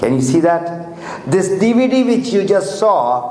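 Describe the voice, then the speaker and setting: Amid noticeable background noise and audible room echo, a man speaks with very wide pitch swings. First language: Urdu or Hindi. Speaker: motivational speaker for a network marketing business. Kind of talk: motivational talk. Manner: halting.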